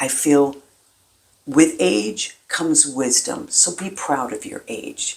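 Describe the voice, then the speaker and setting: Speaking at a very slow pace with an American accent, the voice has big swings in loudness and long, frequent pauses. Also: woman. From US Midwest, Milwaukee, Wisconsin. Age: 70s. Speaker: singer and inspirational vlogger. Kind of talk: motivational talk to camera.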